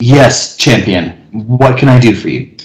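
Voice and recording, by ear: With a put-on character voice, a man speaks at a medium pitch and a fairly slow pace.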